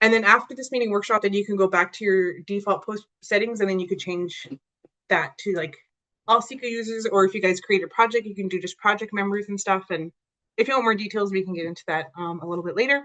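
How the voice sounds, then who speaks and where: Talking very fast against a quiet background, a woman with a medium pitch and a bright, sharp tone shows ordinary pitch variation and big swings in loudness. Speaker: software trainer / outreach presenter; software trainer, presenter. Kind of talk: tutorial workshop. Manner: casual, with many fillers. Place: home room.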